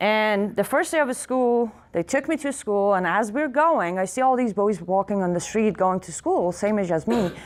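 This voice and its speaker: A woman's fairly high voice in an Iranian accent, at a moderate pace, with very wide pitch swings. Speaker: activist speaker. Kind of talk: speech to audience. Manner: loud; animated.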